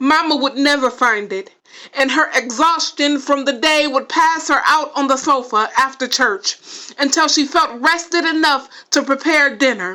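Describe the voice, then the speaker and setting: Speaking with an American accent, a woman uses a raised, projected voice with a high pitch. Her pace is moderate. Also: ordinary pitch variation. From Los Angeles, California. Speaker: poet and writer. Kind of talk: spoken word poetry reading.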